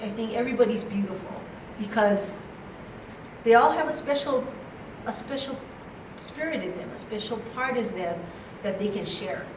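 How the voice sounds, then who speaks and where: There is audible room echo and noticeable background noise as a woman speaks at a moderate pace and fairly high pitch, with ordinary pitch variation and long, frequent pauses. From Hawaii (Honolulu). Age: 60s. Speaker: conference speaker. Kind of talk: motivational talk.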